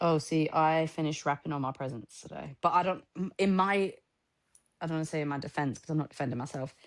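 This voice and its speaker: A woman with a northern English accent, very deep and low in pitch, at a very fast pace with ordinary pitch variation, against a quiet background. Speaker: podcast co-host. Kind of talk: casual chat.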